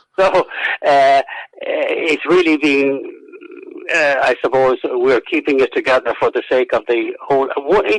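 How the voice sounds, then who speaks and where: A man speaks with long, frequent pauses and very even loudness, the sound dry and close with no echo but noticeable background noise. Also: fairly slow pace. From Ireland, County Roscommon. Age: 70s. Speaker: historian and author. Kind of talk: radio interview. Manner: halting, many fillers and repetitions.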